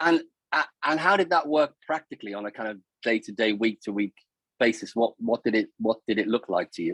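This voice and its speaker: Using lively intonation and a fairly quick pace, a man with a Liverpool accent speaks at medium pitch in a dry, close sound with no echo. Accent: Liverpool (Scouse). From Liverpool, northern England. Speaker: charity chairman hosting awards. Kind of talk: interview.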